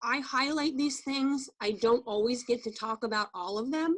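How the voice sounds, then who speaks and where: A woman at a moderate pace, with a normal speaking voice and ordinary pitch variation. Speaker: wine tasting trainer. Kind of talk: training presentation. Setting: video call.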